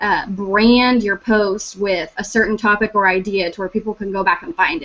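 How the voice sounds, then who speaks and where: At a moderate pace, a woman with a fairly high pitch talks in a normal speaking voice. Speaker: team leader giving social media tips. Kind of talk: online team meeting talk. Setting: video call.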